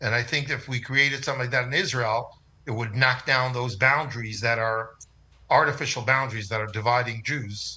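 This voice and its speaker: A man with an American accent, medium pitch and a bright, sharp tone, at a fairly quick pace with ordinary pitch variation, over a quiet background. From USA. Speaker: rabbi. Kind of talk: interview. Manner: halting, many fillers.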